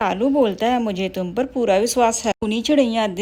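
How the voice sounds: The voice reads in a natural manner. Its pitch rises and falls an ordinary amount.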